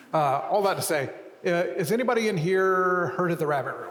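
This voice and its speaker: Against noticeable background noise and audible room echo, a man speaks at a high pitch with ordinary pitch variation. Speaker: publisher and writer, co-founder of an arts community. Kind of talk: public lecture conversation. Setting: stage with audience. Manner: soft-spoken.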